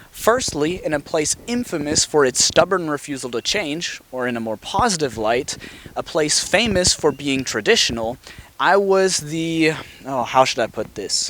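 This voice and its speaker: Against noticeable background noise, a man with a fairly high pitch speaks with very wide pitch swings. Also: moderate pace. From Alabama. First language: German. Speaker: vlogger. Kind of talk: personal narration.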